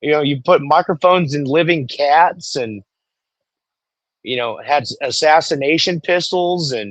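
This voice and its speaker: Here a man uses an ordinary speaking voice at a fairly high pitch with ordinary pitch variation. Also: fairly slow pace. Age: 40s. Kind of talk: casual chat. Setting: live stream.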